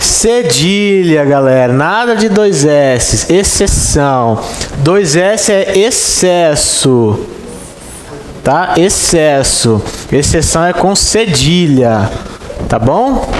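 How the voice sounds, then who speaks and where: A man with a Brazilian accent, high pitch, very wide pitch swings, a very slow pace, and very even loudness, plus audible room echo and noticeable background noise. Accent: countryside Brazilian. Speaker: exam-prep Portuguese teacher. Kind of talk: lecture.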